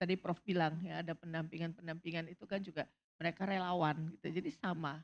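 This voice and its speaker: A woman with a fairly low pitch talks at a fairly quick pace in an ordinary speaking voice. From Indonesia. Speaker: substance abuse doctor; panel expert. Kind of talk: panel talk. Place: stage. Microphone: handheld.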